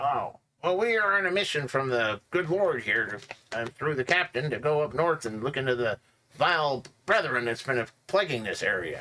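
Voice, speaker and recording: Putting on a character voice, a man speaks at a moderate pace with a fairly high pitch. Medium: actual play. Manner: friendly, rambling.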